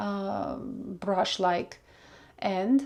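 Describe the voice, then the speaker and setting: A woman speaks with a Russian accent. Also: very clean recording, silent background. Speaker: makeup vlogger. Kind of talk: makeup tutorial. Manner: casual, searching for words.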